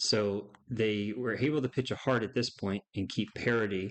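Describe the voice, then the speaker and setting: This man has an unremarkable speaking voice with a fairly low pitch. He talks at a fairly slow pace with fairly even intonation. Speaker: bridge player and tutorial presenter. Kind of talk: tutorial. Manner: casual.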